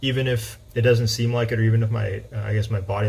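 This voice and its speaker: A man speaks at a fairly quick pace with a fairly low pitch, a somewhat breathy sound and monotone, flat intonation. Audible room echo surrounds his voice. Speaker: high school math teacher. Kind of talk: personal talk to students. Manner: halting with fillers.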